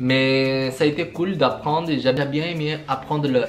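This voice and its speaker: With a Brazilian accent, the speaker delivers flat, monotone lines at a fairly slow pace over music in the background and audible room echo. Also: man. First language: Portuguese (speaking French). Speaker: vlogger. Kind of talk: casual vlog. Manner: halting.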